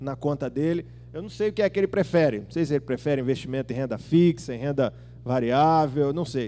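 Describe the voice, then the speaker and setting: Over music in the background, a man with a fairly high pitch talks at a fairly quick pace in an animated tone with ordinary pitch variation. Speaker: pastor. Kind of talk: sermon. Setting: church. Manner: animated, conversational.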